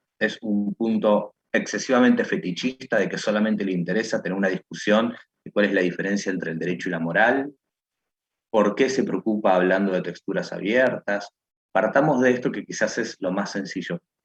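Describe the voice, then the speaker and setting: A plain, everyday voice with ordinary pitch variation speaks at a moderate pace, and the sound is dry and close with no echo. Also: man. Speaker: law/philosophy professor. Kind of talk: online lecture class.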